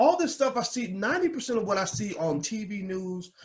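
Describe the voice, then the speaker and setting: Loud shouting from a man with an American accent, animated in tone and lively in intonation. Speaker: political commentator. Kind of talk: live stream rant. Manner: loud, yelling.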